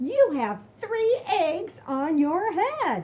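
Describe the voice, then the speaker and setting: A woman's put-on character voice, extremely high-pitched, with very wide pitch swings. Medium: read story. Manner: calm, matter-of-fact.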